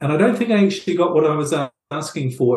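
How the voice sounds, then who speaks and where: A man speaks with a New Zealand accent. His pitch is fairly high, and his intonation is lively. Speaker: author and relationships coach. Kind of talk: interview.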